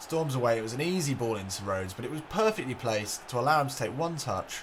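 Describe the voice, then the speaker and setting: A man speaks very fast in an excited tone with lively intonation. His voice is somewhat breathy. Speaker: gaming commentator. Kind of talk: football match commentary over video game. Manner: excited, lively.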